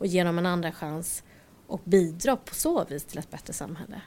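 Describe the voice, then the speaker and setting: A woman speaking at a moderate pace in a very clean recording with a silent background. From Stockholm, Sweden. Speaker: IT entrepreneur. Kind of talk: interview.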